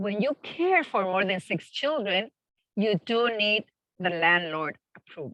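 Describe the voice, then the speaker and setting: A woman with a Spanish accent speaks at medium pitch and a moderate pace in a bright, sharp tone, recorded dry and close with no echo. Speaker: family childcare provider. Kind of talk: presentation Q&A.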